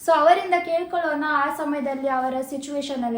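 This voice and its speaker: Her high-pitched voice moves with ordinary pitch variation, while noticeable background noise and audible room echo surround this woman. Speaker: vlogger. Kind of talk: vlog narration.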